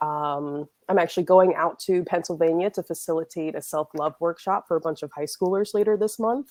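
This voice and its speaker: An unremarkable speaking voice with ordinary pitch variation runs on with hardly any pauses in a dry, close recording with no echo and a quiet background. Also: woman, fairly low pitch for a woman, fairly quick pace. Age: 20s. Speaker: cannabis entrepreneur and event organizer. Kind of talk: casual interview chat. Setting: video podcast.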